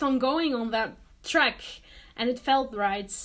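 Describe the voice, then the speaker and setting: A woman speaks in a high voice with a non-native accent. Her intonation stays fairly even. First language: not English. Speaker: vlogger and artist. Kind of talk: casual vlog talk to camera. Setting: home studio. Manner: hesitant, many fillers.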